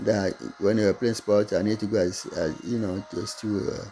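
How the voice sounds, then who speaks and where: Music plays in the background as a man speaks at a moderate pace with a fairly low pitch and fairly even intonation. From Togo, West Africa. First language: not English (French schooling). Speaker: online business vlogger. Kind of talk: casual monologue to camera. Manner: halting.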